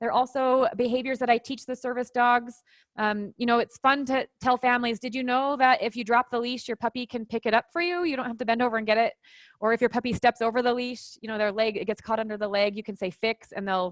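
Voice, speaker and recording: A woman's high voice at a very fast pace, dry and close with no echo against a quiet background. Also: fairly even intonation. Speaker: dog trainer and online course creator. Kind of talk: live chat screen-share walkthrough.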